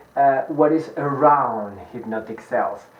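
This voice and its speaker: A man with a Spanish accent speaks at a fairly high pitch with ordinary pitch variation. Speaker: hypnotist and sales trainer. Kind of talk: lecture. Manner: fast.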